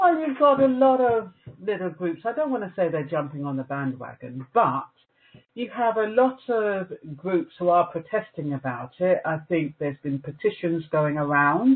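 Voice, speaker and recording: Very wide pitch swings at a moderate pace, in a British accent. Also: woman, fairly low pitch for a woman. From England, Jamaican parents. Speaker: news editor and radio DJ. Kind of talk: interview.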